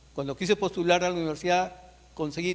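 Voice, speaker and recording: A man talks with a high pitch for a man. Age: 60s. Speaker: author and retired industrial engineer. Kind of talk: book presentation speech. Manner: conversational, informal.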